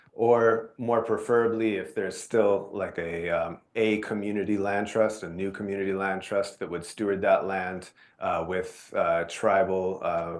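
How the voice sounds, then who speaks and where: A normal speaking voice with fairly even intonation talks at a moderate pace against a quiet background. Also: man. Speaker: nonprofit presenter. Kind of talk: presentation.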